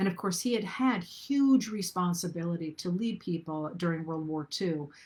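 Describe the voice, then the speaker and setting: A woman speaks at a moderate pace in a fairly low, somewhat breathy voice. Her intonation is lively. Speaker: historian. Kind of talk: lecture. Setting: livestream.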